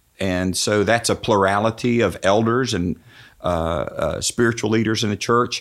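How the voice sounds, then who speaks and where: Speaking at a fairly slow pace, a man has a fairly low pitch and fairly even intonation. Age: 60s. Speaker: pastor. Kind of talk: casual chat. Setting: studio. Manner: halting.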